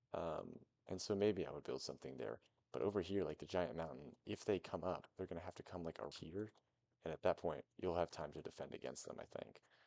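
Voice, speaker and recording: This man's very deep, low voice has a dark, mellow tone with vocal fry and ordinary pitch variation. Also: fairly quick pace. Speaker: gaming video creator. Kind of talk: casual gameplay commentary. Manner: casual, hesitant with many fillers.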